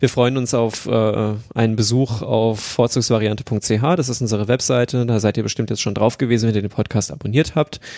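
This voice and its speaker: A man with a dark, mellow tone and a medium pitch talks at a moderate pace with fairly even intonation and hardly any pauses. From Hesse, Germany. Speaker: podcast host, transport software planner. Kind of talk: casual chat.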